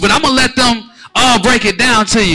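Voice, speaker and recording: Speaking very fast, a man with an American accent uses an extremely high pitch. His voice is raised and projected. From US Midwest. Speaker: event host and music label representative. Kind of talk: live event hosting. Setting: stage with audience. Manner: animated.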